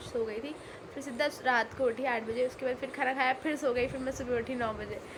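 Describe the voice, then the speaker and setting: Speaking at a moderate pace, a woman holds a high pitch in a monotone, flat intonation. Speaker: vlogger. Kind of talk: casual vlog talk.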